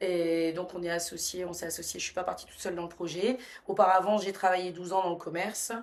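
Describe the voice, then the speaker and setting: A woman speaks at a medium pitch. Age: 40s. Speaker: restaurant franchise owner. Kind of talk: podcast interview.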